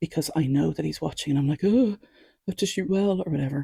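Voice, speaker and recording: A woman's voice sits very deep and low, somewhat breathy, with a dark, mellow tone. The sound is dry and close, with no echo. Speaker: archery podcaster. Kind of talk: casual monologue. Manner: quiet.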